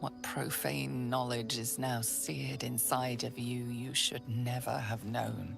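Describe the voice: Clear music plays in the background as a woman uses a put-on character voice, slow and with vocal fry, at an extremely low pitch and fairly even intonation.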